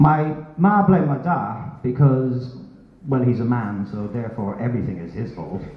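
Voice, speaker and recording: With audible room echo and noticeable background noise, a man of medium pitch talks at a moderate pace, his intonation lively and his loudness swinging widely. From Ireland. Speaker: stand-up comedian. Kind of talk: stand-up. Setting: stage with audience.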